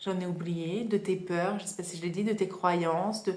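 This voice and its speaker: Her voice has a somewhat breathy quality. The woman speaks at a medium pitch. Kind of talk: casual self-help podcast talk. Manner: hesitant, conversational.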